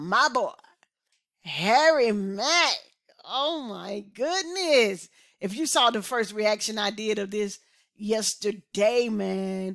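Over a quiet background, a man speaks very slowly with very wide pitch swings. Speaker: reaction video host. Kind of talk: casual vlog chat. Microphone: headset.

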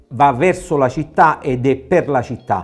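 A man talks fairly slowly with ordinary pitch variation over faint background music. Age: 60s. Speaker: mayoral candidate, nurse; candidate. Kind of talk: political interview. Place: studio. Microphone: lapel.

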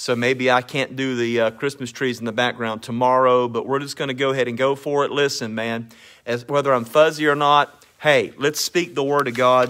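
Bright and sharp in tone, a man speaks with monotone, flat intonation and hardly any pauses. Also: moderate pace. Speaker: minister hosting a live stream. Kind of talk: casual live-stream greeting and devotional talk. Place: home room. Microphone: phone near.

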